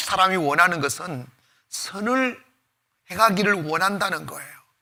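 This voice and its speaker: Speaking at a fairly slow pace, a man projects a raised, high-pitched voice with a bright, sharp tone and very wide pitch swings. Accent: Gyeongsang. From Gyeongsang province, South Korea. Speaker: pastor. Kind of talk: sermon. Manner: casual, half informal speech.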